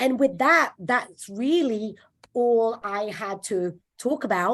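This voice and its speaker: The background stays quiet while a woman talks with lively intonation. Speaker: mortgage lender presenting to real estate agents. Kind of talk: presentation to agents on video call. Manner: halting with many fillers.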